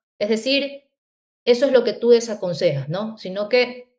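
A woman speaks with an unremarkable speaking voice at a fairly high pitch. Her intonation is lively. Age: 40s. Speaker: podcast host. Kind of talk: interview.

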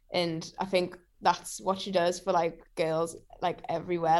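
A woman speaks with a Geordie accent at a medium pitch. Her intonation is monotone and flat, and her pace is moderate. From Newcastle, northeast England. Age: 20s. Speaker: singer-songwriter. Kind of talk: casual interview chat. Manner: halting, many fillers.

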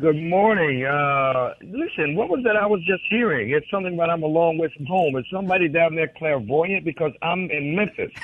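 A man with an American accent speaks at a high pitch and a fairly quick pace, with ordinary pitch variation and hardly any pauses. Noticeable background noise is present. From Mississippi (McComb). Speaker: blues musician. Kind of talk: interview.

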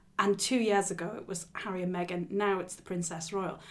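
A woman's fairly quick speech in a northeast English accent. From northeast England. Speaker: royal news podcast host. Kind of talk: casual chat.

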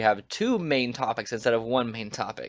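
A plain, everyday voice from a man at medium pitch, on a very clean recording with a silent background. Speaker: podcast host. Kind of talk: casual chat.

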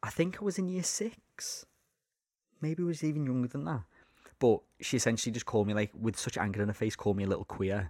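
In a very clean recording with a silent background, a man speaks very fast with very wide pitch swings. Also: medium pitch for a man. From Liverpool. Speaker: podcast host. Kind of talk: casual chat, interview.

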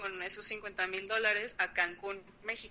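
With noticeable noise behind her, a woman speaks at a fairly slow pace in a Mexican accent. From Mexico. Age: 30s. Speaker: podcast guest. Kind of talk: casual chat.

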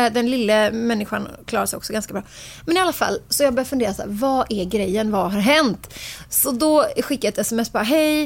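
Fairly quick, lively speech from a woman with a fairly high pitch. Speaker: podcast co-host and blogger. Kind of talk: casual chat. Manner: talkative, animated.

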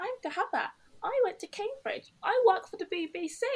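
The woman's pitch is extremely high in this put-on character voice. Her pace is moderate. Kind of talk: posh. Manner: mocking.

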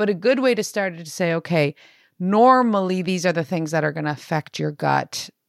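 In a very clean recording with a silent background and a dry, close sound with no echo, a woman with a Canadian accent and a fairly low pitch speaks at a fairly quick pace with lively intonation, in an unremarkable speaking voice. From Canada, Italian immigrant family. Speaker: fitness coach and co-author. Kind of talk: casual chat.

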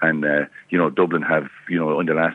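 This man speaks in an Irish accent with a very deep, low pitch and fairly even intonation. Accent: Tipperary Irish. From Ireland, County Tipperary. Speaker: former hurler, pundit. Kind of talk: casual chat. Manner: halting.

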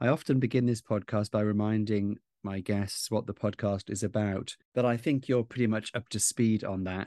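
A man with a Welsh accent speaks at a fairly low pitch against a quiet background. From South Wales. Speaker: podcast host, author and journalist. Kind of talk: interview.

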